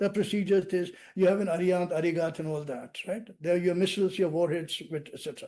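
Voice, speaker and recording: Against a quiet background, a man speaks with an Indian accent. His tone is dark and mellow. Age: 70s. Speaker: national security expert. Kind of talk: podcast interview. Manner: animated.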